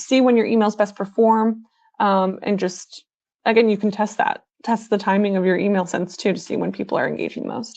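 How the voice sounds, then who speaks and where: Her pitch is medium and her intonation fairly even. The woman talks at a fairly quick pace. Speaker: email marketing expert. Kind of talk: live webinar Q&A. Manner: fast; hesitant, many fillers.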